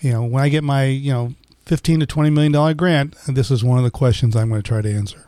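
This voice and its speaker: A man talks very fast at a medium pitch with ordinary pitch variation. His tone is dark and mellow. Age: 60s. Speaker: physician and gynecologist. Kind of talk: health podcast discussion.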